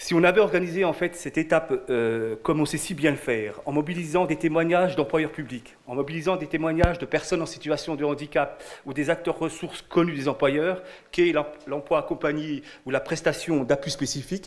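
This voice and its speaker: A man with a Franche-Comté accent talks at a fairly high pitch. His pace is fairly quick. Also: ordinary pitch variation. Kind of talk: conference presentation. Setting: conference at a prefecture with audience. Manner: halting, with repetitions.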